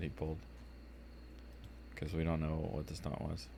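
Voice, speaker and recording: At a fairly quick pace, a man with an American accent talks in a very deep, low pitch amid audible room echo. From DC metro area (Southern Maryland). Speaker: streamer. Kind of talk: casual chat.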